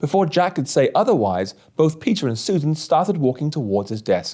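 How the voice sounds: With big pitch swings, a man speaks at a moderate pace in a fairly high pitch and a dark, mellow tone.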